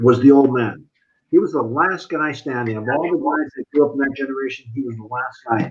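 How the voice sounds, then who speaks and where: A man with an American accent, a normal speaking voice at a medium pitch, ordinary pitch variation and a fairly quick pace. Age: 60s. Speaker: talk show co-host. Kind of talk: casual chat.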